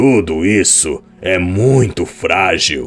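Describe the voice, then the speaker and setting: A man's put-on character voice, raspy and very deep and low, with lively intonation at a very slow pace over faint music in the background. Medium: read story. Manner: cold, indifferent.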